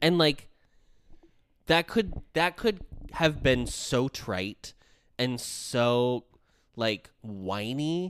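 Intonation is lively while the pace is very slow, broken by long, frequent pauses. The sound is dry and close with no echo. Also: man, medium pitch for a man. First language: not Korean. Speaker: K-pop podcast co-host. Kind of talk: casual chat; scripted narration.

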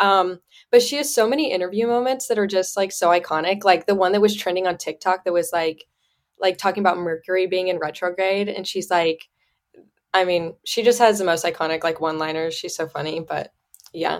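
A woman with an American accent speaks at a fairly quick pace in an ordinary speaking voice, her medium pitch showing ordinary variation. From US Midwest (Indiana). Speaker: university student and social media creator. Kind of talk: casual chat. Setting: video call.

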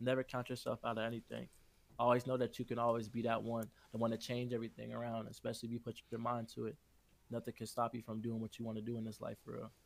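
A man with an American accent and medium pitch speaks at a very fast pace in a monotone, flat intonation. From Chicago. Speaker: underground rapper and singer. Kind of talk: casual interview.

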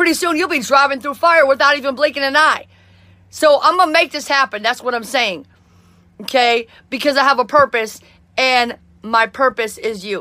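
A woman talks at a moderate pace in a high, raised, projected voice, bright and sharp in tone, animated, with lively intonation. Long, frequent pauses break her speech on a very clean recording with a silent background. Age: 40s. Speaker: motivational podcaster and musician. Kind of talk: motivational monologue.

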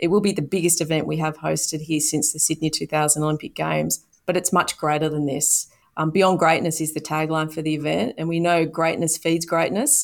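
Heard in a very clean recording with a silent background, a woman with an Australian accent speaks at a very deep, low pitch in a monotone, flat intonation with vocal fry. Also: fairly quick pace. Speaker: sports event executive. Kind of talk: interview.

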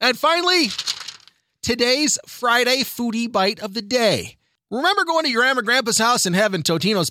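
A man speaks in a raised, projected voice with a bright, sharp tone. His delivery is animated, with very wide pitch swings. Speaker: radio host. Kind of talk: radio news segment. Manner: loud.

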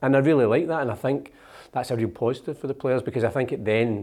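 A dark, mellow voice with a Scottish accent rushes along at a very fast pace. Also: man. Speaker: magazine editor and podcast co-host. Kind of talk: casual chat. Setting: studio.

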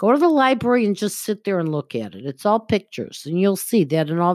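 On a very clean recording with a silent background and a dry, close sound with no echo, a woman of medium pitch with an American accent talks at a fairly quick pace, her pitch swinging very widely. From Buffalo, western New York. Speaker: spiritual medium and astrologer. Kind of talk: casual interview.

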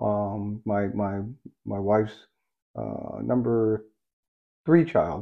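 Man with a fairly low pitch and an American accent. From US. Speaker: retired highway patrol officer. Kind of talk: casual chat. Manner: halting.

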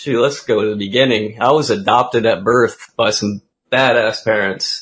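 At a moderate pace, a man with an American accent speaks at a medium pitch with ordinary pitch variation. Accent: often mistaken for US Southern. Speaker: pro gamer and ATV freestyler. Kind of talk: casual chat. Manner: animated.

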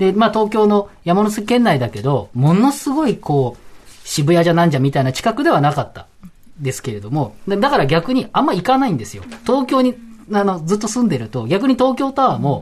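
A man's high voice at a fairly quick pace, with very wide pitch swings and noticeable background noise. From central Tokyo. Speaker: guest panelist. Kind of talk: radio panel discussion.

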